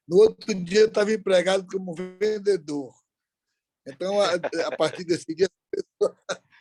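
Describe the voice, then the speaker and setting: A man with a high-pitched voice and ordinary pitch variation talks at a moderate pace with long, frequent pauses, in a dry, close recording with no echo and music in the background. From Brazil, Ceará (interior, Aurora). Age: 70s. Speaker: business leader. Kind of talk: interview.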